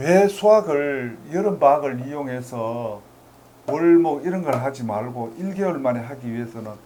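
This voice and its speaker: Audible echo from the room hangs around a man's voice. His intonation is lively. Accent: Gyeongsang. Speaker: math tutor. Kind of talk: lecture.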